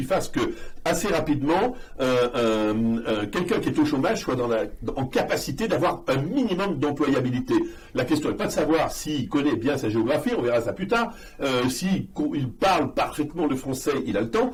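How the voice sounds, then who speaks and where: A man at a moderate pace and fairly high pitch, with very wide pitch swings, audible room echo and noticeable background noise. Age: 60s. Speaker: political adviser. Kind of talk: interview. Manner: hesitant, many fillers.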